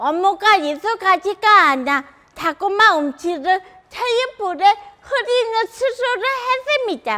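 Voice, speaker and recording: Projecting her voice, a woman speaks at an extremely high pitch with a bright, sharp tone and lively intonation. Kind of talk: prepared public talk. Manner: halting, some repeated words.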